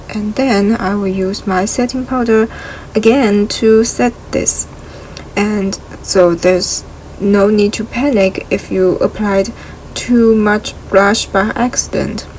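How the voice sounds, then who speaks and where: A woman's fairly high voice with a non-native accent, very slow with fairly even intonation, amid noticeable background noise. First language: not English. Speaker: beauty vlogger. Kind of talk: makeup tutorial.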